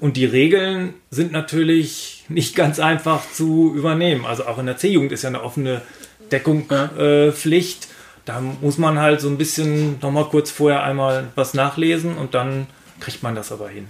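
Noticeable background noise sits behind a man's voice. He speaks at a fairly high pitch with fairly even intonation. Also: moderate pace. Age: 50s. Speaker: handball referee. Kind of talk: casual chat.

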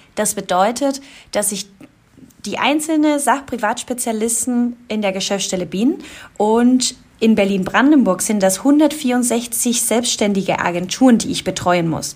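With a normal speaking voice, a woman talks at a fairly slow pace, fairly high in pitch and with ordinary pitch variation. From Colombia. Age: 20s. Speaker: insurance specialist. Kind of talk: casual interview.

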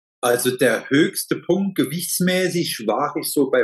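A man's high pitch with lively intonation. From Saarland, Germany. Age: 50s. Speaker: master tradesman, heating and plumbing; client. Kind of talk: interview testimony.

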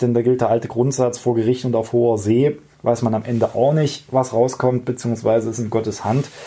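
A man's dark, mellow voice at a medium pitch. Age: 20s. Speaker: podcast host, politician. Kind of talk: explanatory podcast talk. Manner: formal.

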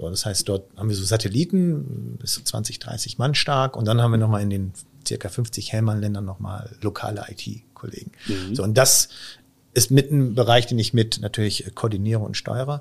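At a moderate pace, a man with a fairly low pitch sounds somewhat breathy, with ordinary pitch variation. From Israel. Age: 40s. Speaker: company IT executive. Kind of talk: podcast interview.

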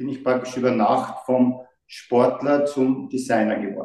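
This man speaks at a very slow pace. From Austria, Graz. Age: 60s. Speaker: brand designer. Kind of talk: interview.

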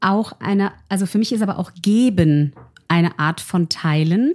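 On a very clean recording with a silent background, a woman with an unremarkable speaking voice talks at a fairly slow pace, her medium pitch carried by lively intonation. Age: 40s. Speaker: make-up artist. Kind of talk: conversational interview.

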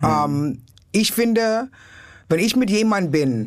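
A woman talks at a fairly slow pace in an English accent. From New York City. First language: English (speaking German). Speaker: comedian. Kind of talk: casual chat. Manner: energetic.

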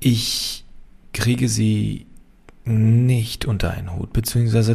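This man's voice sits at a medium pitch, with a dark, mellow tone, a somewhat breathy quality and fairly even intonation. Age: 30s. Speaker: engineer and company founder. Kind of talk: casual Q&A monologue.

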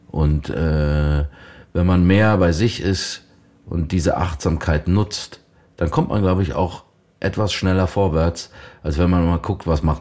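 A man speaks very slowly in a very deep, low voice with a dark, mellow tone and ordinary pitch variation. The recording is very clean, with a silent background. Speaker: voice actor and actor. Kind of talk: casual chat. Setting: room near a lake, Ahaus.

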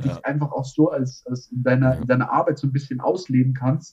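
A man speaks in a somewhat breathy voice at a moderate pace. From Bavaria, Tegernsee. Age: 30s. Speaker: tile-laying business owner. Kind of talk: casual interview.

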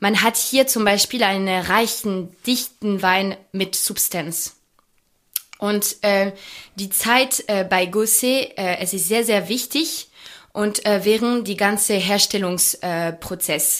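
A woman with a French accent speaks at a very slow pace and a medium pitch, with ordinary pitch variation. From France, Champagne region. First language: French (speaking German). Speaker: champagne brand ambassador. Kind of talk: interview about wine tasting. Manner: halting, many fillers.

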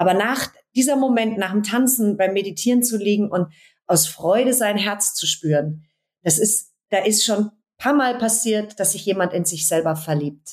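This is a woman with an unremarkable speaking voice and medium pitch. She talks at a moderate pace with ordinary pitch variation. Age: 40s. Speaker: dance and movement coach. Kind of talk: interview conversation.

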